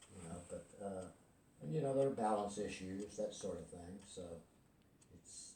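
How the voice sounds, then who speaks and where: A man with a fairly low, somewhat breathy voice and a dark, mellow tone speaks at a moderate pace, pausing long and often. His loudness swings widely, his pitch varies in an ordinary way, and room echo is audible. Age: 70s. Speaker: golf student. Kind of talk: casual conversation.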